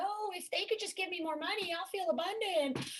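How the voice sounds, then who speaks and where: In a put-on character voice, a woman whines at an extremely high pitch, her intonation lively and her tone whiny. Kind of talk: exaggerated, sarcastic. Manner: funny, mocking, whiny.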